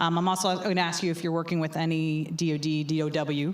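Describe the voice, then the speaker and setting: A woman with an American accent speaks in a very deep, low pitch. Her intonation is fairly even, and room echo is audible. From New York. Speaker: panel moderator. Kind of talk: panel discussion. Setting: stage with audience. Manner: loud.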